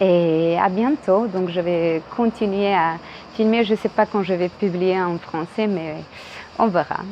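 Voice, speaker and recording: A woman with a Croatian accent at a medium pitch, very slow pace and ordinary pitch variation. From Croatia (Dubrovnik). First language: Croatian (speaking French). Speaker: video blogger, former tour guide. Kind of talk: casual vlog monologue. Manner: hesitant, many fillers.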